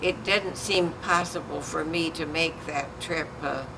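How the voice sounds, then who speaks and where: The speech comes at a very slow pace with fairly even intonation. Room echo is audible, along with noticeable background noise. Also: woman. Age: 90s. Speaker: pastor's widow and church leader. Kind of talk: casual chat. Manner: halting.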